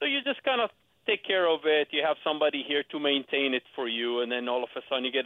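Talking at a very fast pace, a man with an Israeli accent has a fairly high pitch. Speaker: real estate agent. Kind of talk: radio interview. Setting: phone call.

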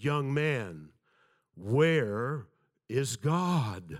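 A man puts on a character voice at a medium pitch. His pitch swings very widely. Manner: booming.

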